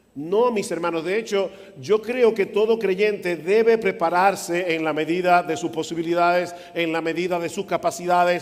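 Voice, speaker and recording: With noticeable background noise behind him, a man speaks at a fairly slow pace in a high pitch, showing ordinary pitch variation. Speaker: pastor. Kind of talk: sermon. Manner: soft-spoken.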